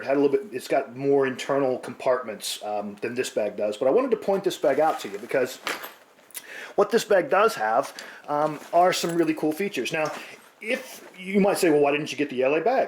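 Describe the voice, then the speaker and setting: A man with an American accent talks at a fairly quick pace in a fairly high pitch. His pitch swings very widely, and noticeable background noise is present. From United States. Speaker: prepping vlogger. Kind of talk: casual vlog talk. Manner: hesitant, many fillers.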